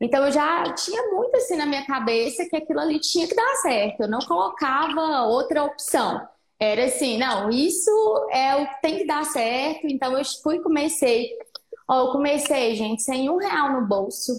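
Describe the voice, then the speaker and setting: This woman has a high pitch and lively intonation. She talks at a moderate pace. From Minas Gerais, Brazil (Patos de Minas). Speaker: nutritionist. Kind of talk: interview on a live stream. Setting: online live stream. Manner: animated.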